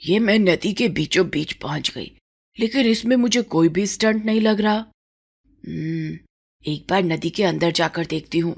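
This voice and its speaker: A woman performs a cartoonish character voice at a medium pitch. Her pace is moderate. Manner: brash, boastful.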